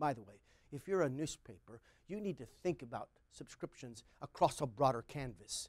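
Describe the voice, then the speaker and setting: The sound is dry and close, with no echo. A man with a fairly high voice talks at a moderate pace. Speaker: marketing researcher presenting webinar. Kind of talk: webinar presentation. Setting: studio.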